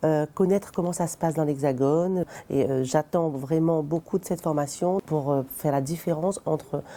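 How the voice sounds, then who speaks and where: With a very deep, low pitch, a woman talks at a moderate pace using fairly even intonation. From Réunion. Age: 40s. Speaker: citizen council member. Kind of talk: interview testimony.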